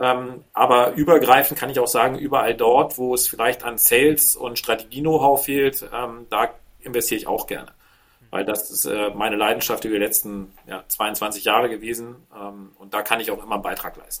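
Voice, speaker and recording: Using an ordinary speaking voice, a man talks at a moderate pace and medium pitch with fairly even intonation. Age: 40s. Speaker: business angel and entrepreneur. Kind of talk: interview conversation.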